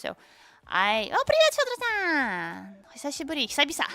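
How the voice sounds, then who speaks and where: A woman with a Tatarstan accent. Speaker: vtuber streamer. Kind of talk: casual livestream chat.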